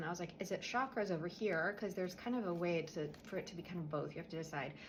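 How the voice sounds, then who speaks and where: A woman's quiet, fairly low-pitched voice at a fairly quick pace, with ordinary pitch variation. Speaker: energy healer. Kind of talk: guided spiritual clearing tutorial. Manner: quiet, subdued; casual, conversational.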